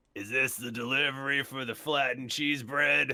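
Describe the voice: A man's put-on character voice, gravelly and at a medium pitch. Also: moderate pace.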